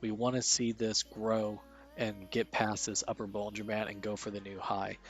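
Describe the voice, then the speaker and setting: Music plays in the background as a man speaks. His pitch is fairly low and his pace moderate. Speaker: stock market streamer. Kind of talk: live market commentary. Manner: quiet.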